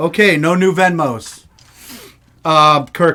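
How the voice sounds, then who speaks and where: A man's voice, fairly high in pitch, with a bright, sharp tone. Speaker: live show host. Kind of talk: casual live-stream chat. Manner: loud; animated.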